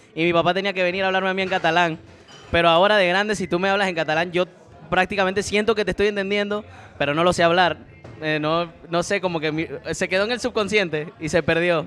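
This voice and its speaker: A man with a high pitch races along at a very fast pace, his intonation fairly even. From Menorca, Spain (Catalan-speaking as a small child). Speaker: podcast host. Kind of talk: interview.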